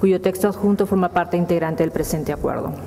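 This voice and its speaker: A woman's fairly low voice with fairly even intonation over light background noise. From Peru. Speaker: council secretary. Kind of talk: reading aloud official documents. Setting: council chamber. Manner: formal. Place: hall.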